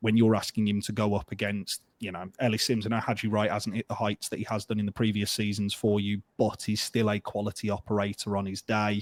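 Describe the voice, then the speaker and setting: A man with a Birmingham accent, fairly low in pitch, at a fairly quick pace with hardly any pauses, monotone and flat in intonation, in a dry, close sound with no echo. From England, Birmingham. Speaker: football fan podcaster. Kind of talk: casual chat.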